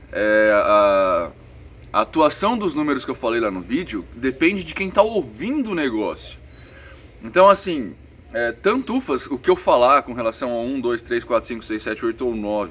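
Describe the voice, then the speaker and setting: A man speaks at a moderate pace in a medium pitch. His pitch swings very widely. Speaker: spiritualist vlogger. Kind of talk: casual vlog Q&A. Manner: speaking softly.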